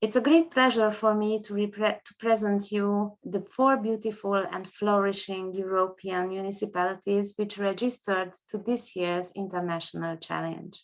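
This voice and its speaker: Moderate pace in a Hungarian accent, with fairly even intonation and hardly any pauses. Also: woman, medium pitch for a woman. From Hungary. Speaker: international judge and tourism expert. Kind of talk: prepared presentation. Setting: video conference. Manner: formal.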